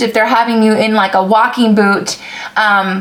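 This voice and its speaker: The speech comes at a moderate pace, with noticeable background noise behind it. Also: woman. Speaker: vlogger sharing surgery recovery. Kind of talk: casual vlog with Q&A. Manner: casual with frequent fillers.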